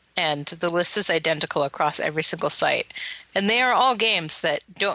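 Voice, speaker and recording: A woman speaks in a normal speaking voice, fairly low in pitch, at a moderate pace. The sound is dry and close, with no echo. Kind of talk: casual chat.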